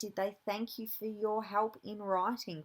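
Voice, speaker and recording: The speaker is female. Her accent is Australian. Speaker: university lecturer in teacher education. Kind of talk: recorded lecture.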